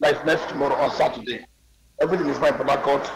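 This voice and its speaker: A man talks while background noise is clearly noticeable. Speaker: remote guest, politician. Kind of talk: interview answer. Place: home room.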